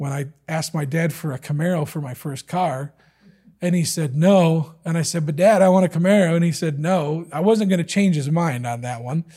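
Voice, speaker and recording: This man's voice is fairly high in pitch, dark and mellow in tone, with ordinary pitch variation. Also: moderate pace. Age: 40s. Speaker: lay preacher. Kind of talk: sermon. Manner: halting.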